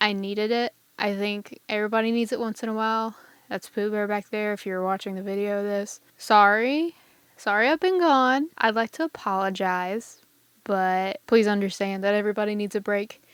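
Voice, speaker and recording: In a very clean recording with a silent background, a woman speaks at medium pitch with ordinary pitch variation, the sound dry and close with no echo. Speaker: music teacher and podcast host. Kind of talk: solo podcast talk. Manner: fast; casual, slightly halting.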